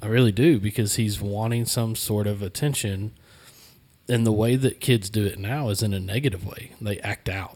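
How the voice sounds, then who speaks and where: A man with an ordinary speaking voice talks at a moderate pace, his fairly low pitch held in fairly even intonation. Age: 30s. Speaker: podcast host and church youth worker. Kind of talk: casual panel discussion. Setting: studio, around a table.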